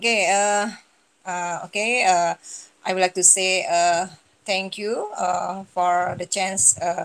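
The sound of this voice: A woman speaks slowly at a medium pitch, her intonation fairly even and her voice showing vocal fry.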